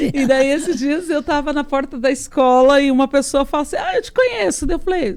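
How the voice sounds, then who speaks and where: A woman speaks at a fairly quick pace with hardly any pauses. Her pitch is high, with ordinary pitch variation. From southern Brazil, Paraná. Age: 40s. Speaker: journalist and podcaster. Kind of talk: interview conversation.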